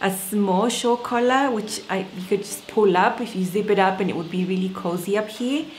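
A woman at a moderate pace with ordinary pitch variation and hardly any pauses, over light background noise. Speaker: sewing vlogger. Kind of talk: casual vlog chat. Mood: cheerful, excited. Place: home room. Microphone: webcam.

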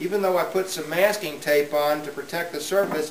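Light background noise and audible room echo accompany speech at a moderate pace with ordinary pitch variation. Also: man. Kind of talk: tutorial. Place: workshop.

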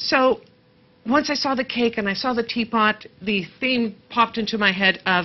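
At a moderate pace, a woman with a plain, everyday voice speaks in a fairly high pitch with ordinary pitch variation. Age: 50s. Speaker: craft show co-host. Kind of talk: craft tutorial. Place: studio. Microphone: lapel.

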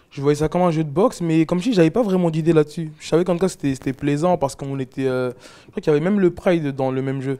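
Very fast talking comes from a man. Behind him, things are quiet. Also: fairly high pitch for a man, ordinary pitch variation. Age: 20s. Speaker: MMA fighter and podcaster; podcaster. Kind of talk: casual chat. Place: home room. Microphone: lapel.

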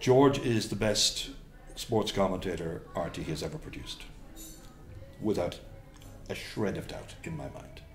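Faint music plays behind a man with a fairly low pitch who talks at a fairly slow pace, with lively intonation, big swings in loudness, and long, frequent pauses. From Cork, Ireland; Ireland. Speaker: sports commentator. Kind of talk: interview answer. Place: home room.

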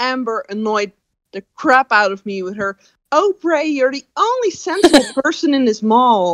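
Using a put-on character voice, a woman whines at a high pitch and a moderate pace. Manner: mocking.

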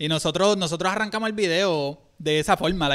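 On a very clean recording with a silent background, a man with a Puerto Rican accent talks at a fairly quick pace with a high pitch and ordinary pitch variation. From Puerto Rico, San Juan. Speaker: reaction channel co-host. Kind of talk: casual live-stream chat. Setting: live stream.

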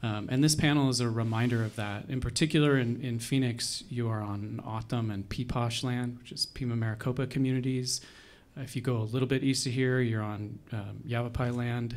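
A man speaks with an American accent and fairly even intonation. His pace is fairly quick. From Arizona. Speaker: history professor and panel moderator; history professor, panel moderator. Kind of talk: panel discussion. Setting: stage with audience. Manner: halting. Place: hall. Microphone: handheld.

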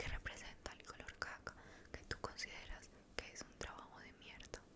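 Whispering, a woman speaks at a moderate pace. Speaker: ASMR roleplay host. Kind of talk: roleplay monologue, soft-spoken. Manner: soft close-mic ASMR speech. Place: home room. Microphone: studio mic.

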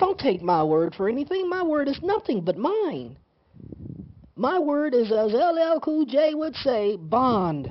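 Against noticeable background noise, a woman speaks very slowly in a high voice with very wide pitch swings. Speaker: internet video commentator. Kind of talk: casual monologue. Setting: talking into a microphone.

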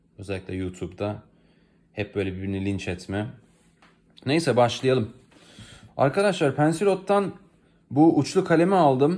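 Over a very clean recording with a silent background, a man with a medium-pitched voice speaks at a moderate pace, his pitch swinging very widely between long, frequent pauses. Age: 20s. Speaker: freelance translator reviewing products on video. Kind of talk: product review video. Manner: casual, hesitant with fillers.

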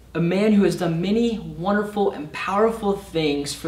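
A man at a moderate pace with ordinary pitch variation and audible room echo. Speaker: summer intern preacher. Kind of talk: sermon. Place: stage.

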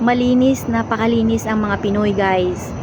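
A woman speaks over noticeable background noise. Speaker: vlogger and overseas domestic worker. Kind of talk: casual vlog talk. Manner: halting with many fillers.

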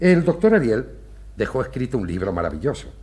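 In a theatrical tone, a man with a fairly low voice speaks with vocal fry. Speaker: clinic director doctor character. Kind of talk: period TV stage play, theatrical declamation. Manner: formal, measured, courteous, theatrical diction. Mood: warm, explanatory, animated. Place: studio. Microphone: camera far.

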